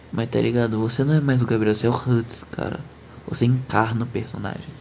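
Flat and monotone, a man's voice carries audible room echo over noticeable background noise. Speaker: podcaster. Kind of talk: casual monologue.

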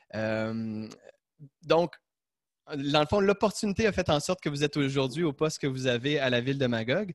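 Speaking at a moderate pace, a man uses a fairly high pitch and lively intonation, with long, frequent pauses. The sound is dry and close, with no echo. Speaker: podcast host. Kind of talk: interview. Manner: halting.

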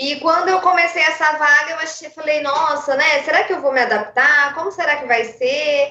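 Her voice raised and projected, a woman speaks at a high pitch with fairly even intonation and hardly any pauses. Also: moderate pace. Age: 30s. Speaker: blood bank donor relations worker. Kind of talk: radio interview.

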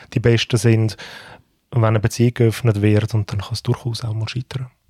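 Speaking in a Swiss accent, a man delivers his words in a dark, mellow tone with monotone, flat intonation. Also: dry, close sound with no echo. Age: 40s. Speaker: podcast co-host. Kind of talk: casual chat.

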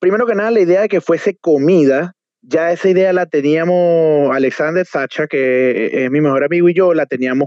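A man's fairly high voice at a moderate pace with ordinary pitch variation, an unremarkable speaking voice. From Venezuela, Trujillo state (Valera). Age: 20s. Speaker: restaurant entrepreneur. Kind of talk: interview.

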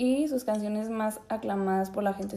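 This woman has a Mexican accent. Her pitch sits fairly high. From Mexico, Zacatecas. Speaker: podcast co-host. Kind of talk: casual chat. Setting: video call.

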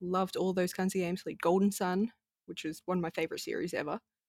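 Her intonation fairly even, a woman with an Australian accent speaks at a medium pitch, the sound dry and close with no echo. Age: 20s. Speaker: video game streamer. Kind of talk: casual chat.

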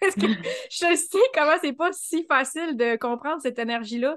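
A woman with a Quebec accent, ordinary pitch variation, and a quiet background. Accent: Québécois French. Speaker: Human Design specialist. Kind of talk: casual interview chat.

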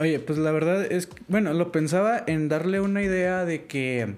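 A man's voice with audible room echo. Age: 20s. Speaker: programming student. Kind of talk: casual interview chat.

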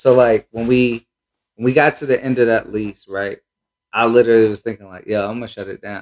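Speaking at a fairly quick pace with an American accent, a man uses a normal speaking voice at medium pitch, his intonation fairly even and the sound dry and close with no echo. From Cincinnati, Ohio, US Midwest. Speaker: sneaker shop owner. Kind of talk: casual chat.

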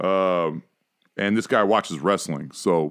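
A man with an American accent speaks at a very deep, low pitch with ordinary pitch variation. The recording is very clean, with a silent background. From Ohio, US Midwest. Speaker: sports podcast host. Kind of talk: casual chat. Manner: animated.

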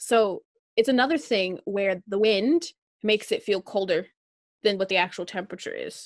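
A woman with an American accent and a normal speaking voice talks at a moderate pace and medium pitch with ordinary pitch variation, in a dry, close sound with no echo over a quiet background. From US Upper Midwest, Minnesota. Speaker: podcast co-host. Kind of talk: casual chat.

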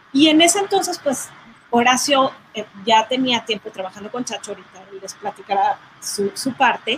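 A woman's high-pitched voice at a moderate pace, with long, frequent pauses, lively intonation, big swings in loudness and noticeable background noise. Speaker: sound engineer and record producer. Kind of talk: casual chat.

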